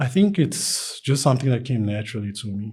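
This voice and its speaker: A somewhat breathy male voice with a dark, mellow tone. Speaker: artist. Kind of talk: casual interview. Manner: halting, many fillers; stutters at times.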